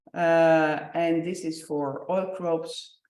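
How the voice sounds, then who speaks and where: This woman's voice sits very deep and low. Its pitch moves in an ordinary way. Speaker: researcher presenting project results. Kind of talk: conference presentation. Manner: hesitant, many fillers.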